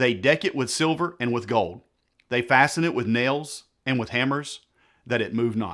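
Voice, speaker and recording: Recorded very cleanly against a silent background, a man talks at a moderate pace, with a medium pitch and ordinary pitch variation. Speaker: pastor and Bible teacher. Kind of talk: sermon-style Bible teaching talk to camera. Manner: sarcastic, explanatory.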